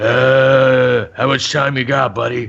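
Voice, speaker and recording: Putting on a character voice, a man speaks at a fairly slow pace with medium pitch and a monotone, flat intonation. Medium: actual play. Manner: third-person, broken grammar.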